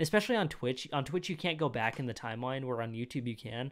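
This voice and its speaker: At a medium pitch and a very fast pace, a man speaks in an animated tone with ordinary pitch variation against a quiet background. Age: 20s. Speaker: youtube reaction creator. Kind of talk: casual reaction commentary. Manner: animated, rambling with fillers. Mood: opinionated, mildly irritated. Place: home room. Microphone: studio mic.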